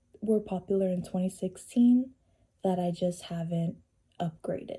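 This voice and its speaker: A woman's voice, dark and mellow in tone and somewhat breathy, keeps a moderate pace. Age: 20s. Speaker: beauty vlogger. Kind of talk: casual chat. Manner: casual, chatty.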